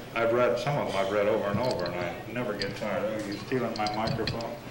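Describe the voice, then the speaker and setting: Here a man talks at a very fast pace with fairly even intonation. Noticeable background noise runs underneath. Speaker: poet and reading series host. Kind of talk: casual introduction. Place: bar.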